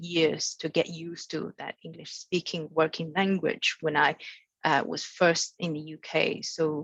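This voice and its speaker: Dry and close with no echo, a woman speaks at a fairly slow pace in a fairly low, monotone voice with flat intonation. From mainland China. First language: Mandarin Chinese. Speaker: international arbitration lawyer. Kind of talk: panel talk at training webinar. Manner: halting, many fillers and repetitions.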